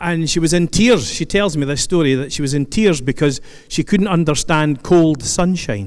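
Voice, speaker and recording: A man with a Scottish accent talks at a fairly high pitch with ordinary pitch variation. Noticeable background noise runs underneath. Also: moderate pace. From Scotland, Stirling. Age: 60s. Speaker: keynote speaker, retired police officer. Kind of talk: speech to audience. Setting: stage with audience. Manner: conversational, humorous asides.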